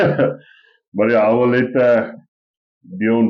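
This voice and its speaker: A man with a South African accent. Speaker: podcast co-host. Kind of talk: casual chat.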